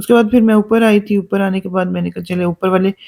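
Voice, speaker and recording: The recording of this medium-pitched woman sounds dry and close, with no echo. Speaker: vlogger. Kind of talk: vlog narration. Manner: hesitant, many fillers.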